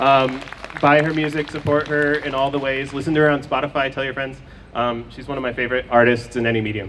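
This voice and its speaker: Very fast speech with fairly even intonation plays against noticeable background noise. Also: man, medium pitch for a man. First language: Farsi. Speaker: poet. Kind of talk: poetry reading. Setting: outdoors. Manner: halting.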